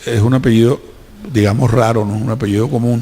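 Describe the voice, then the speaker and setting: With a Colombian Caribbean accent, a man talks at a fairly quick pace and medium pitch. Noticeable background noise is present. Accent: costeño. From Colombian Caribbean coast, Cartagena. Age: 70s. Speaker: businessman. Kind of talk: public talk. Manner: animated.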